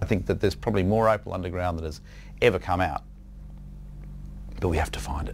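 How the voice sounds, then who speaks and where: Talking very fast yet with long, frequent pauses, a man uses a very deep, low voice with vocal fry and ordinary pitch variation. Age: 60s. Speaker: opal dealer. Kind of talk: interview. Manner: animated.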